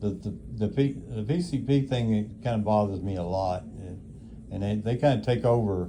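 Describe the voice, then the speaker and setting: In a room with audible echo, a man with a fairly low pitch and a dark, mellow, somewhat breathy tone talks at a fairly quick pace. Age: 80s+. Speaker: elderly nursing home resident. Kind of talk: casual chat. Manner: halting.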